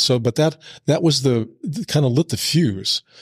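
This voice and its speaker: A man talks at a very fast pace with a General American accent. His pitch variation is ordinary, and the recording is very clean with a silent background. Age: 70s. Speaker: author. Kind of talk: casual interview.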